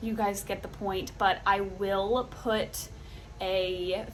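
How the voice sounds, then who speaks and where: A woman with a medium-pitched voice talks in fairly even intonation, with audible room echo around her. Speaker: lifestyle vlogger. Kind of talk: casual vlog narration. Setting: at home.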